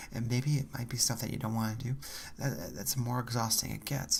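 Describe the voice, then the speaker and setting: Relaxed in tone and somewhat breathy, a man speaks with fairly even intonation. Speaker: math student / college graduate. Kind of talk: ASMR soft-spoken talk to camera about study techniques. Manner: soft-spoken, slow, relaxed.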